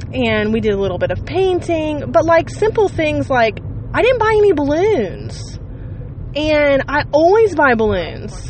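A woman with an American accent speaks at a fairly slow pace. Noticeable background noise is present. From Ohio. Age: 30s. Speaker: podcast host. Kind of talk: casual monologue. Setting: in a car. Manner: rambling, conversational with fillers.

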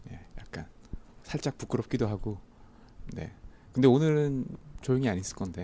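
A man at medium pitch has a dark, mellow tone and lively intonation. His moderate pace has long, frequent pauses and big swings in loudness. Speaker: audience participant. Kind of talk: casual group conversation. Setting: live public recording with audience.

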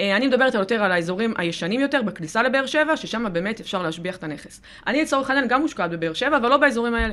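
A woman talks very fast with hardly any pauses. Her intonation is lively and her pitch fairly high. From southern Israel. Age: 20s. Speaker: lawyer and real estate broker. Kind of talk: podcast interview.

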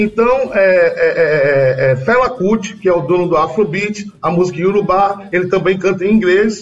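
Music plays in the background while a man speaks at a fairly slow pace. His pitch is high and his loudness very even. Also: ordinary pitch variation, hardly any pauses. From Bahia, Brazil. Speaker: singer-songwriter. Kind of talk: interview.

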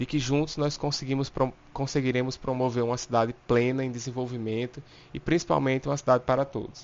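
This is a plain, everyday voice. It keeps a moderate pace and fairly even intonation. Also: man. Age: 20s. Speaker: civil engineer and law student, local political candidate. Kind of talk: prepared statement. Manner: formal.

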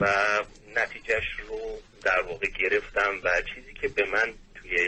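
A man is speaking. His pace is fairly slow. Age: 30s. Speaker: caller, engineer. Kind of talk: call-in advice. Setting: phone call. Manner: halting.

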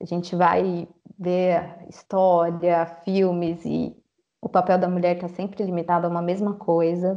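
A woman talks at a fairly slow pace, her fairly low voice held in a monotone, flat intonation. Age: 30s. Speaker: social worker. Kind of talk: casual interview.

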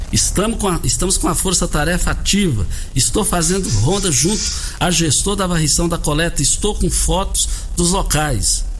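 Audible room echo and noticeable background noise surround a man as he talks. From Rio Verde, Goiás, Brazil. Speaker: radio host. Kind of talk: morning radio talk show.

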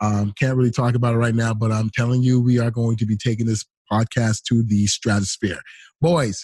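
Heard against a quiet background with a dry, close sound and no echo, the voice is dark, mellow and somewhat breathy at a moderate pace. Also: man. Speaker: podcast host. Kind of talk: radio DJ patter, upbeat show intro.

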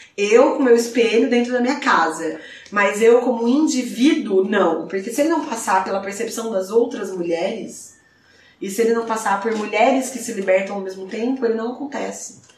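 With noticeable background noise and audible room echo, a woman talks at a moderate pace and fairly high pitch, with ordinary pitch variation. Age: 30s. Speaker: podcast guest. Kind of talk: casual chat.

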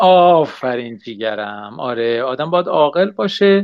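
Lively in intonation, a man speaks in a plain, everyday voice pitched fairly high. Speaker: online radio host. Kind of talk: live radio show chat. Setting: home setup, online livecast. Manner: casual, warm.

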